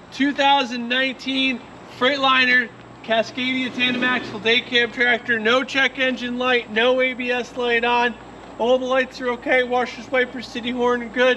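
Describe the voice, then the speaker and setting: Over light background noise, a man projects a raised voice at an extremely high pitch with monotone, flat intonation. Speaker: truck dealer salesman. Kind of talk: sales pitch. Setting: outdoors at truck lot. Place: open country.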